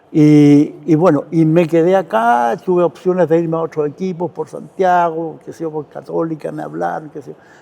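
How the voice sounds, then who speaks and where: A man talks with a dark, mellow tone at a fairly high pitch. His intonation stays fairly even while his loudness swings widely. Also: moderate pace. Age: 70s. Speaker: retired football goalkeeper and coach. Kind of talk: interview. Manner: hesitant, repeats words.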